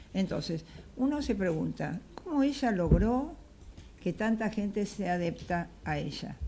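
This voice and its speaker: A woman speaks with lively intonation and a dark, mellow tone. Vocal fry runs through her voice. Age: 70s. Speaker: political panel guest. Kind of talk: political talk show discussion. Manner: animated.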